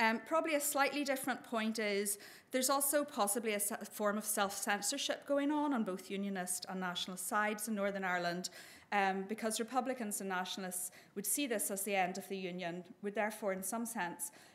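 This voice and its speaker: A woman's medium-pitched voice with ordinary pitch variation, a fairly quick pace and audible room echo. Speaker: professor. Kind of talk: conference presentation. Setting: event with audience. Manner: fast; hesitant with many fillers.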